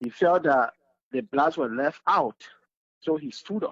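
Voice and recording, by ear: In a dry, close sound with no echo, a man with a Liberian accent speaks at a fairly slow pace, his fairly bright tone touched by vocal fry.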